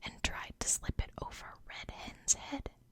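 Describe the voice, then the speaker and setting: Someone whispers at a very slow pace. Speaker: ASMR creator. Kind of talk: bedtime story reading. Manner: soft-spoken.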